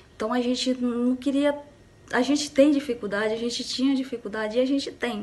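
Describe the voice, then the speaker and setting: Speaking at a fairly quick pace, a woman with a high voice keeps her intonation fairly even. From Brazil, rural Maranhão. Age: 30s. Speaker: rural worker and union youth leader. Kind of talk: recorded video message.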